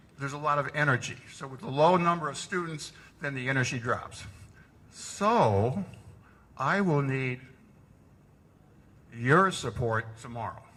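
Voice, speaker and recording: A man with a fairly high pitch and a bright, sharp tone speaks at a fairly slow pace, his lively intonation marked by big swings in loudness and long, frequent pauses. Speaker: math education trainer. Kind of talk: workshop presentation.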